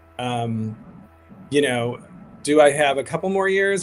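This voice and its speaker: A man talks at a moderate pace with ordinary pitch variation over music in the background. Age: 50s. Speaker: activist, founder of a grassroots advocacy group. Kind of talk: interview on a livestream. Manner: hesitant, many fillers and restarts.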